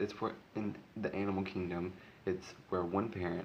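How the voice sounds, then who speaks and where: At a moderate pace, a man with a very deep, low pitch speaks in a monotone, flat way, with audible room echo. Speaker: vlogger. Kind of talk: casual vlog talk. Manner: halting, many ums.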